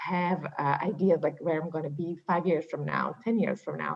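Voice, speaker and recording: This woman talks at a moderate pace with a Slovak accent and a fairly low pitch. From Slovakia. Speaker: HR executive. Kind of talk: panel discussion.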